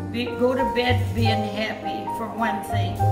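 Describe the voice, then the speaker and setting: Loud music plays in the background. The speaker talks at a very slow pace. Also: woman. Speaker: senior living resident. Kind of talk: casual advice to camera. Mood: warm, reflective. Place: home room. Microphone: phone near.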